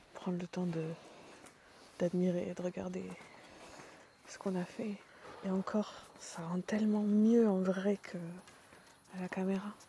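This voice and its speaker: A woman whispers at a fairly slow pace. Her loudness swings widely, with long, frequent pauses. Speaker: home renovation vlogger. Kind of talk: casual vlog chat. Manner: whispering.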